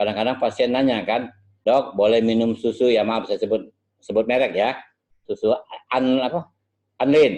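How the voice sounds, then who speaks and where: The speaker is a man. His pitch is medium. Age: 60s. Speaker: medical lecturer. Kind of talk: lecture.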